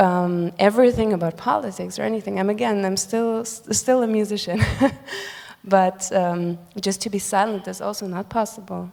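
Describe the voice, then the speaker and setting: In a Ukrainian accent, a woman speaks at medium pitch and a moderate pace with fairly even intonation. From Germany, Ukrainian family. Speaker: musician. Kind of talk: panel discussion. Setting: stage with audience.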